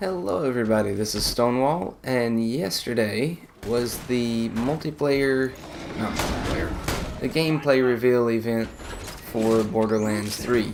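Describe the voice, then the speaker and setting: Speech comes at a fairly slow pace with ordinary pitch variation. There is noticeable background noise and audible room echo. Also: man, medium pitch for a man. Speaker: gaming YouTuber. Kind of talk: gameplay commentary. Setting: recording while playing a video game. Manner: halting, distracted while playing.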